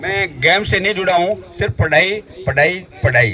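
A man's high-pitched, bright, sharp voice at a moderate pace, with lively intonation.

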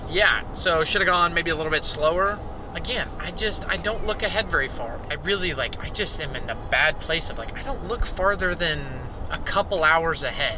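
Against noticeable background noise, a man's voice comes through dry, with no echo. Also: ordinary pitch variation, moderate pace. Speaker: vlogger. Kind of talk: casual vlog chat. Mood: relaxed, reflective. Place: car. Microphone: phone near.

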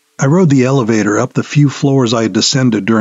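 Someone reads a text aloud, plainly. Nothing about it changes from start to finish.

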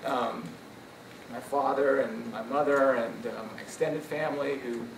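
A man speaks at a moderate pace in an American accent, his pitch fairly high. Noticeable background noise runs beneath him. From US Midwest. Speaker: professor. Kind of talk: acceptance speech. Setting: stage with audience. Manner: animated. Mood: grateful, reminiscing. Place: hall. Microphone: podium.

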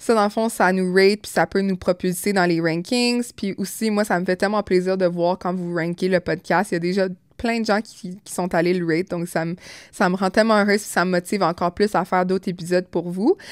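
A woman speaks at a fairly quick pace. The sound is dry with no echo, against a quiet background. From Montreal, Quebec. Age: 20s. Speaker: podcaster and cosmetics business owner; podcaster. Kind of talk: casual monologue podcast. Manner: animated. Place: home room. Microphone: studio mic.

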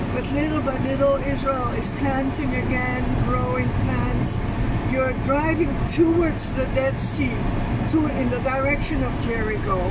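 Against loud background noise, a woman speaks at a fairly slow pace in a dry sound with no echo. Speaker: local guide friend. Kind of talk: casual tour commentary. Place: car. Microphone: phone near.

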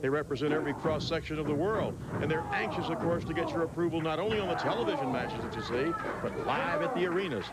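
Someone talks at a very fast pace in a dry sound with no echo, against loud background noise. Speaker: wrestling commentator. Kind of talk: live play-by-play wrestling commentary. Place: hall. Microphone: handheld.

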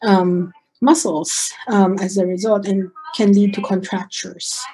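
Over a quiet background, a woman speaks at a fairly slow pace. Her voice is somewhat breathy, with a dark, mellow tone. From Philippines (Manila). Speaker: physician; presenter. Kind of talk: lecture. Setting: video call. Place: home room. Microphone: video call.

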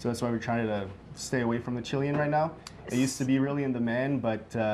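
Speaking at a very fast pace, a man keeps his intonation fairly even. Light background noise is present. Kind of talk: cooking demo interview answer. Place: kitchen. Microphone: lapel.

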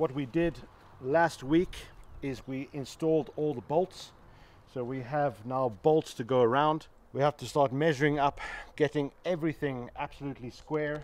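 Recorded dry with no echo, a man speaks at a moderate pace with fairly even intonation. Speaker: builder vlogger. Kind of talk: casual vlog chat. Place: garden.

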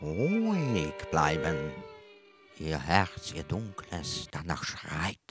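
A man's put-on character voice, very deep and low in pitch, at a very slow pace over faint music in the background. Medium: stage play. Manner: sly, calming, sinister.

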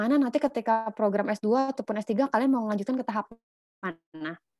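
A woman speaks at a very fast pace, her pitch fairly high with ordinary variation. The background is quiet, and the sound is dry with no echo. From Indonesia. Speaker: scholarship mentor. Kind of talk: online lecture. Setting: video call. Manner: animated. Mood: casual, encouraging. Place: home room. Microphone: video call.

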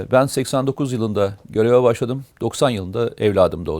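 With ordinary variation in his pitch, a man talks in a medium register. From Turkey, Amasya and Uşak. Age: 50s. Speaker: retired army officer, security consultant. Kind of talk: interview, life story. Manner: hesitant, frequent filler sounds.

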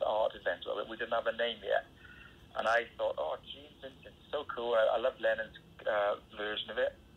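At a moderate pace, a man talks with a Welsh accent. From Wales. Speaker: rock singer. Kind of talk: interview.

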